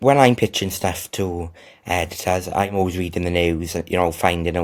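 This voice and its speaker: In a South Wales accent, a man speaks at a moderate pace with a very deep, low pitch and flat, monotone intonation. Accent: Welsh (South Wales). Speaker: freelance tech journalist. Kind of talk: interview. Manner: halting, many fillers and repetitions.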